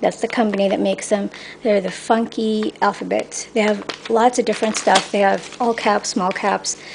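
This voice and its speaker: Noticeable background noise sits behind a woman speaking at a medium pitch. Her pace is moderate and her intonation fairly even. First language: Filipino. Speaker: cake decorator. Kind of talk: tutorial. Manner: halting.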